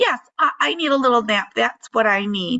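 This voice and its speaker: A woman does a raspy put-on character voice at a fairly high pitch. Her intonation is lively and her loudness very even. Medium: read story. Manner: strange and wooden.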